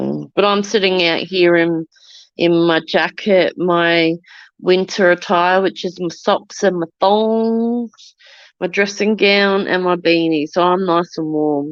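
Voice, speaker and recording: With an Australian accent, a woman speaks at a very slow pace, her fairly low voice held to fairly even intonation. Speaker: livestreamer. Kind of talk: casual chat. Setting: outdoors. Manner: loud.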